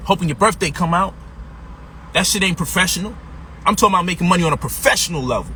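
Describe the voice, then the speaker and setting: A man with an American accent, high-pitched for a man, animated in tone, talking at a very fast pace with ordinary pitch variation, long, frequent pauses and noticeable background noise. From Brooklyn, New York (Brownsville, East New York). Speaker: financial coach and author. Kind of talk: motivational sales pitch. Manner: animated, street-casual.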